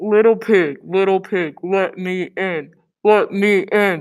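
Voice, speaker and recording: Someone does a put-on character voice at a middle pitch and a fairly slow pace. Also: female-sounding voice. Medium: read story. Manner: menacing.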